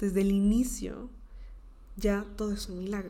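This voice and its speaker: Amid audible room echo, a woman speaks at a moderate pace and medium pitch in a dark, mellow tone. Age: 20s. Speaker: podcast host. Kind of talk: motivational monologue.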